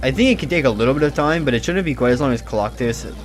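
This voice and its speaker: A man speaks with an American accent. Music plays in the background. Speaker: video game commentator. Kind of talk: gameplay commentary. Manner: halting, many repetitions and fillers; casual.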